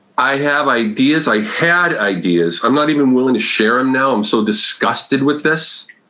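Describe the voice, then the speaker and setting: A man with an American accent speaks at a moderate pace and a medium pitch, with lively intonation and hardly any pauses. His loudness stays very even, and there is noticeable background noise. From New England, Massachusetts. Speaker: agile consultant and author. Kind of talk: podcast interview.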